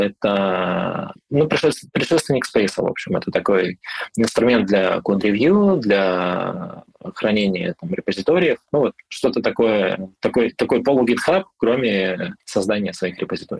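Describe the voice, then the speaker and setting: A man of medium pitch speaks at a fairly slow pace with very wide pitch swings, in a dry, close sound with no echo. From Siberia, Irkutsk region. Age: 30s. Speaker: product manager and mentor. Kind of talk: interview.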